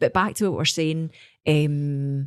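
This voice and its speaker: Her pitch sits very deep and low for a woman. She talks in a Scottish accent with lively intonation. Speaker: singer. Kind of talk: casual interview.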